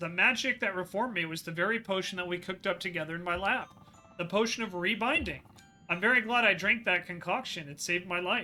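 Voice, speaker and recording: A man performs a put-on character voice at a high pitch and a very fast pace. Faint music plays in the background. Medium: game stream. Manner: genteel, fatherly.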